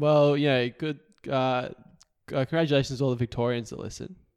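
Speaking with an Australian accent, a man keeps his intonation fairly even and leaves long, frequent pauses. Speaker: political podcast co-host. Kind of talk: casual chat. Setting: recording at co-host's house.

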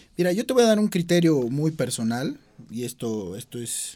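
Captured in a very clean recording with a silent background, a man speaks in a dark, mellow tone at a moderate pace with very wide pitch swings. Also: big swings in loudness. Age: young. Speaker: sports show host. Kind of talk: interview.

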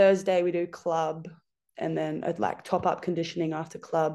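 A woman's fairly low, dark and mellow voice with an Australian accent, ordinary pitch variation and a moderate pace against a quiet background. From rural New South Wales, Australia. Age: 20s. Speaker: professional rugby player. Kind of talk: casual interview.

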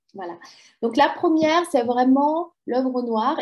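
Her pace is fairly slow. This woman has a high pitch and lively intonation. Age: 50s. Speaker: personal development coach. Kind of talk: interview. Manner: hesitant, many fillers.

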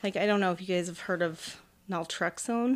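In an American accent, a woman has an unremarkable speaking voice at a medium pitch with ordinary pitch variation, in a very clean recording with a silent background. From central Illinois. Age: 40s. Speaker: roller derby athlete. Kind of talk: testimony.

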